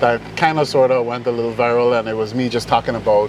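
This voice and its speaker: A man at a medium pitch, in a Caribbean accent, at a very fast pace over noticeable background noise. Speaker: musician. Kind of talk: interview.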